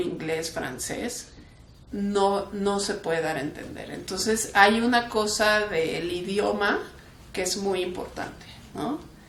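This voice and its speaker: A woman with a Mexican accent at a medium pitch and a very slow pace, with audible room echo and noticeable background noise. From Mexico (left Kraków, Poland at 11). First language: Polish (speaking Spanish). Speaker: human rights defender. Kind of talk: interview. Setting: museum talk. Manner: casual, with frequent fillers.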